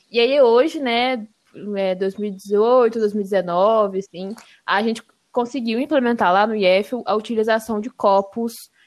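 Over a very clean recording with a silent background, a woman speaks at a fairly slow pace. She has a normal speaking voice with a fairly high pitch. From Brazil, Espírito Santo (Serra). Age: 20s. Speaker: environmental engineering student. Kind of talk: casual podcast conversation.

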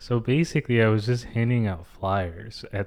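A man with an American accent talks fairly slowly in a fairly low, fairly even voice, an ordinary speaking voice. The recording is very clean with a silent background. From New York City, Manhattan. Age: 20s. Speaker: actor and writer. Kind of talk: casual chat. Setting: at home.

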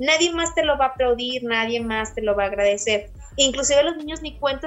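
Speaking at a very fast pace, a woman uses a high pitch with ordinary pitch variation. She talks with a northern Mexican accent. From Saltillo, Coahuila, northern Mexico. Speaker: primary school teacher. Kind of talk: casual interview.

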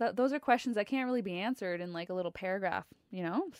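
In a Canadian accent, a woman talks in a normal speaking voice at medium pitch with ordinary pitch variation, on a very clean recording with a silent background. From Ontario, Canada. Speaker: podcast co-host, yoga teacher. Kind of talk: casual chat.

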